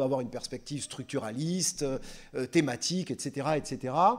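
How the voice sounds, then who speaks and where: A man talks with a Gascon accent. His tone is dark and mellow. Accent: southwestern French (Landes), noticeable. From southwest France (Landes). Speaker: literature lecturer, trains French teachers. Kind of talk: public lecture. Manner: hesitant, many 'euh' fillers.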